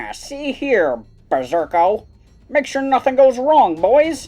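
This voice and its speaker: Over faint music in the background, a put-on character voice speaks at a fairly slow pace and a high pitch. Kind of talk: classic mobster parody. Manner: bossy, commanding.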